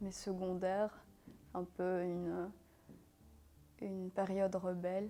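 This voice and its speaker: At a very slow pace, a woman talks in a medium pitch with a dark, mellow tone. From Syria, then Belgium from age 12. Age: 20s. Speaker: interviewee. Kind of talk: personal interview testimony. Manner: hesitant, many fillers.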